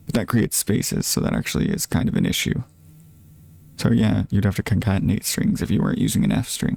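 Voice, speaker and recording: A man talks quietly at a very fast pace. The sound is dry and close, with no echo. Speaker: streamer learning to code. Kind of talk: live coding stream, thinking aloud. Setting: live stream. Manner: quiet, low volume; halting, many fillers and restarts.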